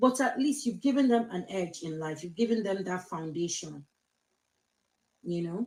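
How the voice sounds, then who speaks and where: A woman talks at a moderate pace with lively intonation and a medium pitch. Her speech has long, frequent pauses. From Nigeria, Lagos. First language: Yoruba. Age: 50s. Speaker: social media vlogger. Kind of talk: casual monologue. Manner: code-switching English and Yoruba.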